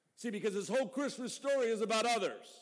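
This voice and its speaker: A man with an extremely high pitch speaks in fairly even intonation, with audible room echo. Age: 50s. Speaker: pastor. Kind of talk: sermon. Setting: church. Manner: halting.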